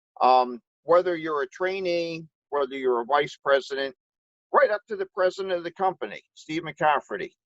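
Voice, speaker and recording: Moderate pace and ordinary pitch variation, an ordinary speaking voice in a dry, close sound with no echo. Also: man, fairly high pitch for a man. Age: 60s. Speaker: public adjuster. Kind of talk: testimony.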